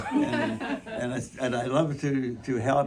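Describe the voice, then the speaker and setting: Amid noticeable background noise, a man speaks in an American accent. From US Upper Midwest, Minnesota. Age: 90s. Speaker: war veteran. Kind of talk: testimony. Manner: halting, many repetitions.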